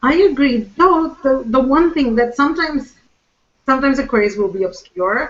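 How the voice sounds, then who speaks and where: Lively intonation marks a woman's speech at a moderate pace. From mixed India, England, Wales, America. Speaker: search marketing trainer and speaker. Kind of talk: panel discussion. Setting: live online broadcast.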